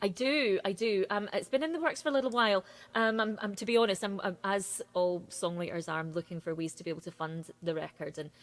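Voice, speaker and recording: Talking at a very fast pace with hardly any pauses, a woman with a Scottish accent has a medium pitch and lively intonation. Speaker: singer-songwriter. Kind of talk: casual interview chat.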